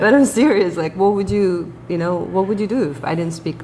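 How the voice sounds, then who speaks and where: A woman with a Russian accent speaks at a moderate pace over noticeable background noise. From Ukraine. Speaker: YouTube co-host. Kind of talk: casual reaction chat. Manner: animated.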